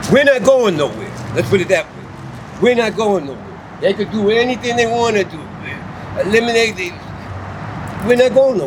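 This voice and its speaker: The speaker talks at a moderate pace with ordinary pitch variation and big swings in loudness. Long pauses come often, and noticeable background noise can be heard. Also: man, high pitch for a man. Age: 70s. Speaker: veteran. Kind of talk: street interview.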